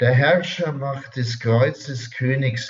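The voice sounds somewhat breathy. Its pitch varies in an ordinary way. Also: man. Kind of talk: spiritual talk. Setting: radio studio.

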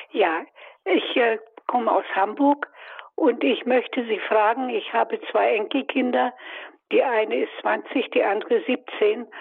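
A woman with a high voice speaks very slowly, with long, frequent pauses. Her intonation is lively while her loudness stays very even. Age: 80s+. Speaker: caller. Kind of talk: phone-in question. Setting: phone call. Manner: halting.

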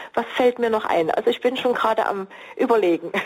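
Here a woman has an unremarkable speaking voice pitched fairly high. She moves at a fairly quick pace with lively intonation. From East Germany. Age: 60s. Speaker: marriage counselor and coach. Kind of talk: radio interview. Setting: remote line.

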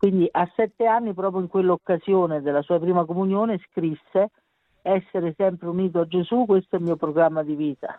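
Fairly quick and fairly even in intonation, this speaker talks with an Italian accent. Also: woman, fairly low pitch for a woman. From Italy. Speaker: mother of a beatified teen. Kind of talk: interview. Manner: halting.

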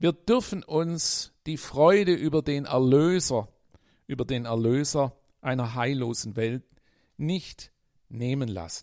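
A man with fairly high pitch and lively intonation, very slow pace, and long, frequent pauses. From Swabia, Germany. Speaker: priest. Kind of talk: radio devotional talk with read-aloud stories.

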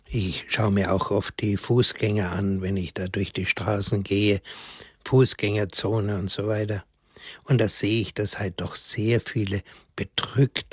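At a very slow pace, a man talks in a somewhat breathy, fairly low voice with fairly even intonation. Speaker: priest. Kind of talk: religious talk. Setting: remote line into radio studio.

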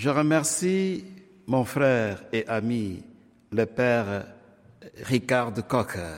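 Lively in intonation, a man speaks at a very slow pace with long, frequent pauses. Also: medium pitch for a man. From Democratic Republic of the Congo. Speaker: priest and radio program director. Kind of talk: speech to radio listeners, interpreted. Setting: radio studio.

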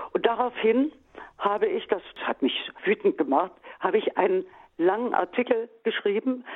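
A woman with a fairly high pitch and very wide pitch swings talks at a moderate pace, leaving long, frequent pauses. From East Germany. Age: 70s. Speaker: writer. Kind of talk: interview. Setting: recorded interview.

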